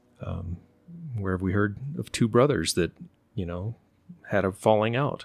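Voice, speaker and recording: Using lively intonation, a man with an American accent speaks at a fairly low pitch and a moderate pace. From Oklahoma, later Virginia. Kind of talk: casual interview conversation. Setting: host's home.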